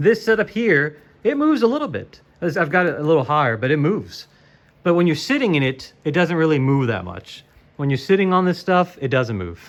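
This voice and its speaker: Here a man speaks at a fairly high pitch. His pitch swings very widely. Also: fairly quick pace. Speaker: sim racing YouTuber. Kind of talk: casual product walkthrough. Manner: fast; casual, halting with fillers.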